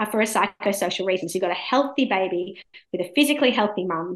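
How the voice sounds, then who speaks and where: A woman speaks with an Australian accent. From India, raised in Australia. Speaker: law professor. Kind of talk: interview.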